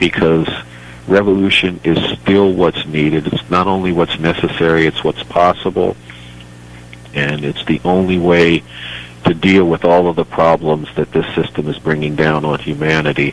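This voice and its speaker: With an American accent, a man with a very deep, low pitch speaks at a moderate pace with fairly even intonation over noticeable background noise. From United States. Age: 60s. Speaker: political activist. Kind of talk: radio interview.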